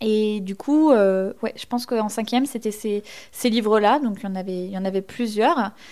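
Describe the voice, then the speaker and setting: A woman with an ordinary speaking voice, fairly high in pitch, at a moderate pace, with ordinary pitch variation and big swings in loudness. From Normandy (Basse-Normandie, Orne). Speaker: novelist. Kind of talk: interview.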